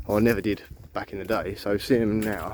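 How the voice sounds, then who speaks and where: A man mumbles with a London accent. Noticeable background noise runs under his words. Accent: London accent, drops H's. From southeast London. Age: 40s. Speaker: vlogger. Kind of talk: casual walking vlog. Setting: outdoors. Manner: rambling, mumbling.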